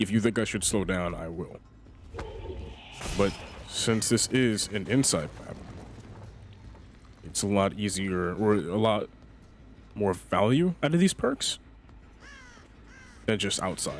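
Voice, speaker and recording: Long, frequent pauses break up this man's speech. His pitch is fairly low, with ordinary variation. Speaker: gaming youtuber. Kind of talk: gameplay commentary. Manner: fast; casual.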